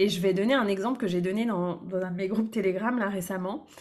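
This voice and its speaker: With a normal speaking voice, a woman speaks at medium pitch and a fairly quick pace. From France, Brittany. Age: 30s. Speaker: business coach. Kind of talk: casual interview.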